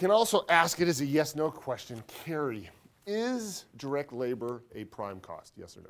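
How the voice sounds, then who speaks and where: A man speaks at a fairly high pitch. His pitch swings very widely and his loudness rises and falls sharply. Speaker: accounting professor. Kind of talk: lecture. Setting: classroom. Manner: fast.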